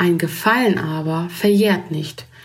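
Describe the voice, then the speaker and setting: At a fairly slow pace and fairly low pitch, a woman speaks with fairly even intonation amid noticeable background noise and audible room echo. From Germany. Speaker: writer and photographer. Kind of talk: reading aloud.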